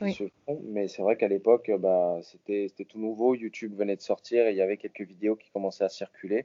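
Showing big swings in loudness, a man speaks at a fairly quick pace with a fairly low pitch and fairly even intonation. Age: 20s. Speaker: parkour athlete. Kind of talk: interview. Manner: halting, repeats words.

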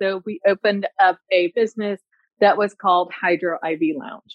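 A woman speaks in a plain, everyday voice. Her pitch sits in the medium range and varies in an ordinary way. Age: 40s. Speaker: nurse practitioner and clinic owner. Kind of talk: consultation call. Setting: call.

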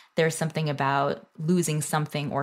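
On a very clean recording with a silent background, a woman with an American accent speaks at a moderate pace, her very deep, low voice showing vocal fry and fairly even intonation. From Northern Virginia, US. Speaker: food studies scholar and company founder. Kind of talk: interview conversation. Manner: hesitant with many fillers.

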